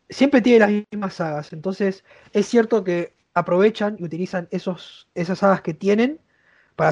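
A man with a Rioplatense accent speaks at a moderate pace in a high voice against a quiet background. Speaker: YouTuber and university student. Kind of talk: casual chat.

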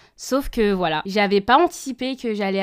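On a very clean recording with a silent background, a woman uses a plain, everyday voice at medium pitch, with ordinary pitch variation and a fairly slow pace. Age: 20s. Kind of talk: interview testimony.

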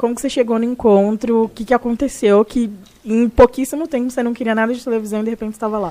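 A woman speaks very fast in a fairly high pitch, keeping her intonation fairly even. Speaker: podcast host, HR professional. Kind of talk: casual interview chat.

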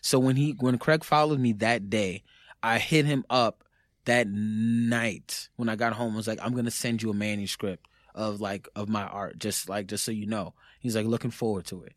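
A man speaks with a New York accent and fairly even intonation. The recording is very clean, with a silent background. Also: medium pitch for a man, moderate pace. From New York, the Bronx. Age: 30s. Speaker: author and musician. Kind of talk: casual chat.

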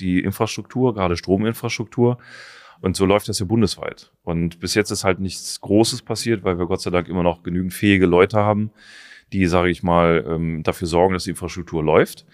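A man's very deep, low voice at a fairly quick pace, fairly even intonation, dry and close with no echo. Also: very clean recording, silent background. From Germany, Taunus (Hesse). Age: 40s. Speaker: survival trainer. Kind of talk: interview. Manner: hesitant fillers (äh, ähm).

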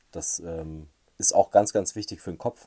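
A man speaks at a fairly quick pace with ordinary pitch variation. The sound is dry and close, with no echo. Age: 30s. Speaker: magician. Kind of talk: casual interview.

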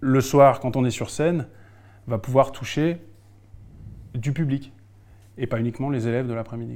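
This man speaks at a moderate pace with a medium pitch, fairly even intonation and a dark, mellow tone. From Alsace, France. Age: 40s. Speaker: improv actor and poet. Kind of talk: interview conversation. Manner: halting, frequent repetitions.

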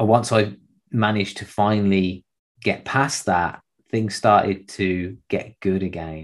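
A man talks in a plain, everyday voice at a fairly low pitch. His pace is fairly slow and his intonation fairly even. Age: 30s. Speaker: podcast host and fitness trainer. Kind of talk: solo monologue, personal story.

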